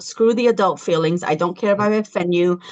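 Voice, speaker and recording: Here is a woman with an American accent and an ordinary speaking voice. Her pitch is medium, with ordinary pitch variation. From California, Los Angeles. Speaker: founder of a parents' advocacy group. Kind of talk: podcast interview.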